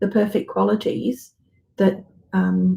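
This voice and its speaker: With fairly even intonation, a woman talks in a dark, mellow tone that is somewhat breathy. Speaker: psychic reader. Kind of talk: live psychic reading. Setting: livestream. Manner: halting.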